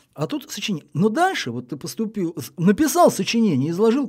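This man's voice sits at a high pitch. It moves in very wide pitch swings. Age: 60s. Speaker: veteran journalist. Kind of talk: casual chat.

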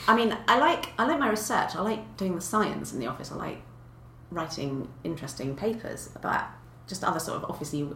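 The speaker talks at a fairly quick pace in a southern English accent, with very wide pitch swings. Audible room echo and noticeable background noise fill the recording. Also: woman. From Kent, south of England. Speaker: paleontologist. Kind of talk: casual chat.

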